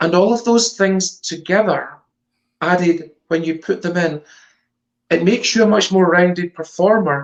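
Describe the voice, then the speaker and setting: A woman with a Scottish accent, fairly low pitch, ordinary pitch variation and long, frequent pauses. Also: moderate pace. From Scotland, Glasgow area. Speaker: stage psychic performer. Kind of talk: interview.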